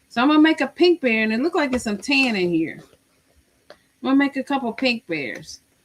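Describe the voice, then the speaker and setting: A loud woman with an American accent speaks high in pitch at a fairly quick pace, with very wide pitch swings. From Missouri. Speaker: crochet livestreamer. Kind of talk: casual livestream chat.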